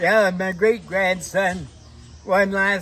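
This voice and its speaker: Noticeable background noise accompanies a man talking at a very slow pace. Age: 80s+. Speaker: harness horse owner. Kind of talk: casual interview.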